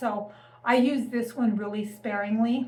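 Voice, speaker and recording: A woman with a normal speaking voice talks at a fairly high pitch and with fairly even intonation. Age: 60s. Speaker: lifestyle vlogger. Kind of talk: casual talk to camera.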